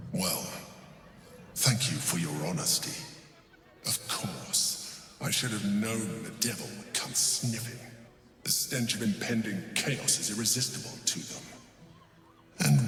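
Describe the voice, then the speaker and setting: A man at medium pitch uses a cartoonish character voice at a fairly slow pace, with clear echo and clear background noise. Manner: measured, formal.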